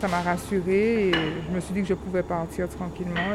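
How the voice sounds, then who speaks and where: Noticeable background noise sits behind a woman talking in a monotone, flat intonation. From outside France. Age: 30s. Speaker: former nursing assistant retraining as pastry cook. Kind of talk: interview testimony.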